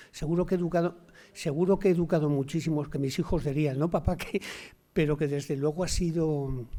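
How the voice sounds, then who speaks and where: Fairly high in pitch, this man speaks at a fairly quick pace with fairly even intonation and a dark, mellow tone. The recording is very clean, with a silent background. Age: 60s. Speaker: sociologist and university lecturer. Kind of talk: Q&A discussion after a talk. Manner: halting, with many repetitions.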